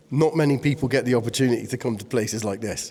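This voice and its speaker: In a British accent, a man with a medium pitch and ordinary pitch variation talks at a fairly quick pace. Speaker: airgun YouTuber. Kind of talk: casual vlog narration. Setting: underground bunker, reverberant. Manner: quiet, trying to limit reverb.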